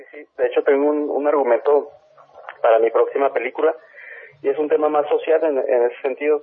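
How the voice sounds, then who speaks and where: Big swings in loudness mark this man's speech, delivered at a fairly quick pace. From Ciudad Juárez, Mexico. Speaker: film director. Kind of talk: interview. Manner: halting.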